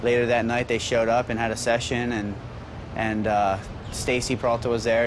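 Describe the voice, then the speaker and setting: Very fast speech in an American accent comes through noticeable background noise. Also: man. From US East Coast, Baltimore. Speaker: professional skateboarder. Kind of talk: interview. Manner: halting, many fillers.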